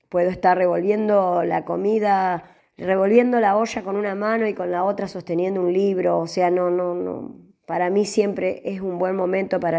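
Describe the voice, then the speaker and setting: A woman speaks at a moderate pace with a dark, mellow tone. Her voice is medium in pitch, with fairly even intonation. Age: 60s. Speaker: writer. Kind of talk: interview.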